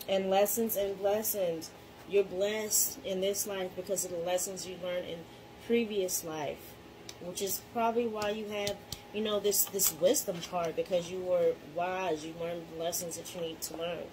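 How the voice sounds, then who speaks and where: Amid noticeable background noise, the speech moves at a moderate pace with fairly even intonation. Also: woman, medium pitch for a woman. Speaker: tarot reader. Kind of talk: tarot reading. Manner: casual, filler-heavy.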